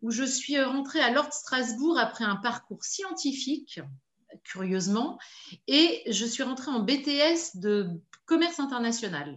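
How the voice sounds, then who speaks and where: Speaking at a fairly slow pace, a woman uses very wide pitch swings in a somewhat breathy voice. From Paris region, France. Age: 50s. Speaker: business owner. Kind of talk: interview testimony. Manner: hesitant, many fillers.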